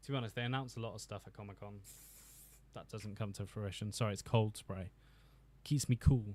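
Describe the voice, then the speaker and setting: A man with a British accent speaks at a fairly quick pace in a fairly low pitch. His tone is dark and mellow, somewhat breathy, with big swings in loudness. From Britain. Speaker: YouTube film commentator. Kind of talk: livestream commentary. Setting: home office. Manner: animated; halting.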